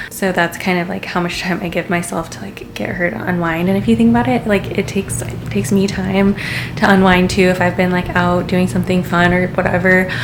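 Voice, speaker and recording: There is audible room echo and noticeable background noise as a woman with a fairly low pitch talks at a fairly quick pace with hardly any pauses. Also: ordinary pitch variation. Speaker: mom vlogger. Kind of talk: casual vlog talk to camera. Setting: at home, baby's room then other room. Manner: casual, filler-heavy.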